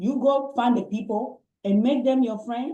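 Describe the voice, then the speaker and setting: Her voice has a dark, mellow tone. The pitch moves up and down in an ordinary way. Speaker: network marketing business owner, guest speaker. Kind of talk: Q&A answers in an online business training session.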